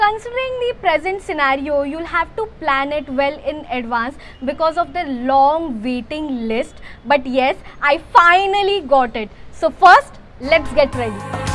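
A woman speaks at a high pitch and a fairly slow pace, with lively intonation. There is light background noise. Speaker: food vlogger. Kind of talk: casual vlog chat. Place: home room.

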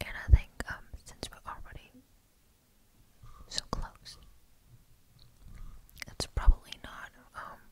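Over loud background noise, a soft-spoken woman whispers at a fairly slow pace. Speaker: roleplay host. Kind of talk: soft intimate roleplay talk. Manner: soft intimate ASMR whisper. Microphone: studio mic.

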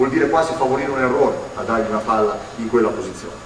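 A man talks at a very fast pace with ordinary pitch variation. There is light background noise and audible room echo. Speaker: basketball coach giving a clinic. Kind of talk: lecture. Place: hall.

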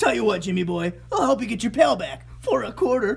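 A cartoonish character voice at a fairly quick pace. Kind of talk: cartoonish, slangy. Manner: scheming, haggling.

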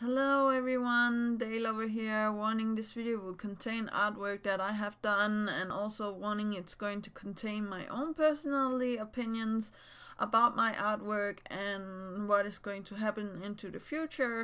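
A woman with a bright, sharp tone and fairly high pitch speaks at a moderate pace. Her intonation is fairly even while her loudness swings widely. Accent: Danish. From Denmark. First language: Danish. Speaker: YouTuber and digital artist. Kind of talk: casual vlog talk to camera. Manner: halting, many fillers.

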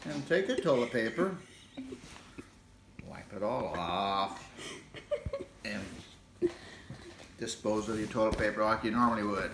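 With an American accent, a man talks at a fairly slow pace in a fairly low pitch, his intonation lively and his speech broken by long, frequent pauses over noticeable background noise. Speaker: grandfather joking demonstrator. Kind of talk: comedic demonstration to camera. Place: home room. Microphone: phone near.

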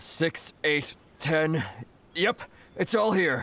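A man's put-on character voice, fairly high and fairly bright, with lively intonation at a very slow pace.

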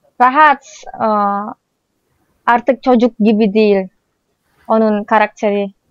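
A woman's fairly high-pitched voice with an Indonesian accent, very slow and fairly even in intonation, with long, frequent pauses. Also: dry, close sound with no echo. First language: Indonesian (speaking Turkish). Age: 20s. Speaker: vlogger. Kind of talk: casual chat; sales pitch.

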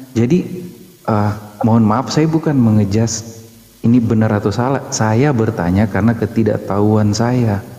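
A man speaks with very even loudness. His intonation is fairly even and his pace moderate. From Manado, Indonesia; Indonesia. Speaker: questioner from audience; questioner. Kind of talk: heated debate. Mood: polite, apologetic, earnest. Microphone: video call.

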